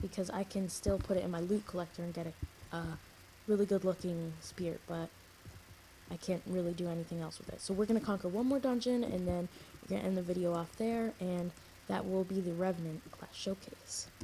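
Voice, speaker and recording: Somewhat breathy, a woman talks with a dark, mellow tone and fairly even intonation. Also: medium pitch for a woman. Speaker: gaming youtuber. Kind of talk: gameplay commentary. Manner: hesitant, filler words.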